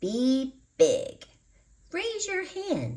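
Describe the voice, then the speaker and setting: This is a put-on character voice. It is squeaky, with extremely high pitch. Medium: read story. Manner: gentle, encouraging.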